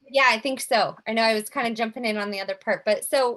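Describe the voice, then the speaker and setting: A woman's fairly high voice with ordinary pitch variation at a fairly quick pace. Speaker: speech therapist. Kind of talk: informational presentation with group discussion. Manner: fast.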